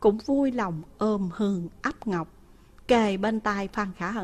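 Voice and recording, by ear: Pitch varies normally in this natural-voiced reading aloud.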